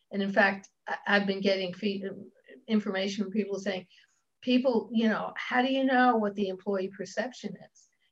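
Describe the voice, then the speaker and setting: At a moderate pace broken by long, frequent pauses, a woman speaks at a medium pitch, somewhat breathy, with fairly even intonation. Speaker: diversity consultant and coach. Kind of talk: interview conversation.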